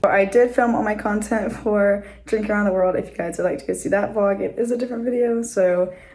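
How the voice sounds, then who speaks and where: A woman talks at a fairly quick pace with a medium pitch and ordinary pitch variation. Audible room echo surrounds her voice. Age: 20s. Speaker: vlogger, theme park college program worker. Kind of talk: casual vlog talk to camera. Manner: casual, filler-heavy.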